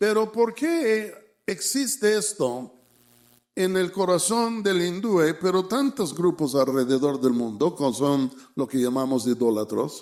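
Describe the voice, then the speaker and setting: A man talks at a very slow pace with a high pitch and very wide pitch swings. His loudness stays very even. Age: 70s. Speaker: preacher. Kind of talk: sermon.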